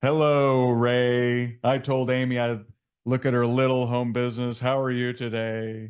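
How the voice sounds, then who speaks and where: In a booming, put-on character voice, a man speaks at medium pitch and a moderate pace with flat, monotone intonation. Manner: regal, imperious.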